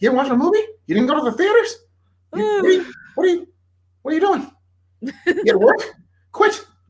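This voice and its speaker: A man puts on a character voice at an extremely high pitch. He rattles the lines off at a very fast pace. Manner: scolding, incredulous.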